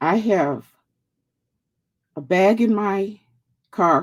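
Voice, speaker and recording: Lively intonation marks this woman's speech. Her pitch is fairly low. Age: 60s. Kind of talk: casual livestream talk. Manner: halting.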